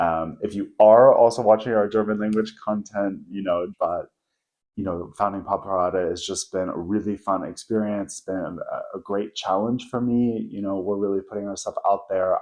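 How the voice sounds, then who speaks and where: With an American accent, a man in a relaxed tone speaks at a moderate pace in a fairly low, monotone, flat voice, hardly pausing at all. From US South, Atlanta, Georgia. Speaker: video creator. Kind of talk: casual vlog monologue. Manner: relaxed, conversational.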